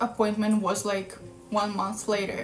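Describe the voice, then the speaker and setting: A woman speaks with faint music in the background. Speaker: vlogger. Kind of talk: casual vlog chat. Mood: relaxed, chatty. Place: home room. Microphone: phone near.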